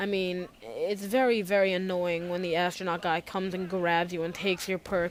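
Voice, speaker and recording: Quiet, a woman speaks at a fairly quick pace. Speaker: gaming commentator. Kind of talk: gameplay commentary. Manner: quiet, low energy.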